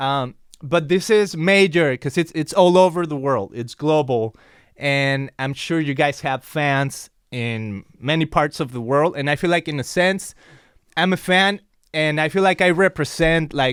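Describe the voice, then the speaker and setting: A man with a Mexican accent and a fairly high voice speaks fairly slowly in an enthusiastic tone, with ordinary pitch variation, in a very clean recording with a silent background. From Mexico. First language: Spanish. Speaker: podcast host. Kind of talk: interview conversation.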